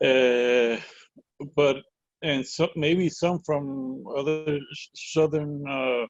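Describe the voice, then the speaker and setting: At a very slow pace, a man with a Puerto Rican accent speaks at a fairly high pitch with fairly even intonation. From Puerto Rico. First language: Spanish. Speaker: educator. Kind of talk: webinar discussion. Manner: halting.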